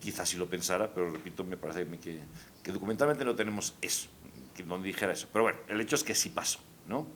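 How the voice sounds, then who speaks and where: A man speaks at a very fast pace. His pitch is very deep and low, with ordinary pitch variation. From Spain. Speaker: historian and professor. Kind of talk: conversational discussion.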